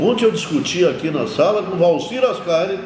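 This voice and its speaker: A man speaks at a moderate pace with lively intonation. Noticeable background noise and audible room echo are present. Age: 70s. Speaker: mayor. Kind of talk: interview. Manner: animated.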